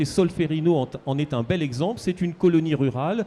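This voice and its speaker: Fairly high in pitch for a man, an unremarkable speaking voice moves at a moderate pace. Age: 60s. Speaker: historian. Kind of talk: book talk panel discussion.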